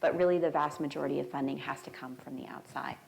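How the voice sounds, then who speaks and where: A woman with an American accent talks at a very fast pace. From Arizona. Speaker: biomedical engineering professor. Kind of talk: lecture. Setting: church hall with audience.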